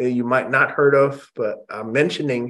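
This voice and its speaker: At a moderate pace, a man speaks with a General American accent. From Indonesia, raised in US. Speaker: music industry executive. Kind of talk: interview. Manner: halting. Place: home room. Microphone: video call.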